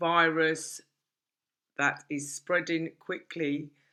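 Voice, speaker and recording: In a British accent, a woman talks with a very deep, low pitch and a bright, sharp tone. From London, England. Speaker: English teacher. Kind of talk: online English grammar lesson. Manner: casual, chatty.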